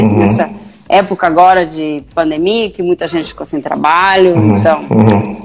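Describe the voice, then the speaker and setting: An unremarkable speaking voice, a woman's with lively intonation at a moderate pace. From Brazil, Guaíra interior. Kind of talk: casual live-stream interview.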